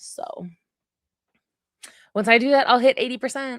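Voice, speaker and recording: A woman speaks with vocal fry at a fairly high pitch. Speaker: book streamer. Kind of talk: casual livestream chat. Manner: animated; fast.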